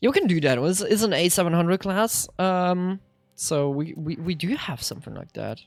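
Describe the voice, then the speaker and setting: A speaker with a Swiss German accent talks at a moderate pace, with big swings in loudness and lively intonation, while music plays in the background. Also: woman, fairly low pitch for a woman. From Switzerland (Swiss German). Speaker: streamer. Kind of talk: live gameplay commentary. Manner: animated.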